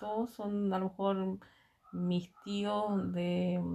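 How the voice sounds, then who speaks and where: Her medium-pitched voice runs in a monotone with flat intonation. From Chile, Aconcagua valley (Santa María, Tocornal). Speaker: interviewee, mother of the interviewer. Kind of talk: casual family interview. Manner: hesitant, with fillers and repetitions.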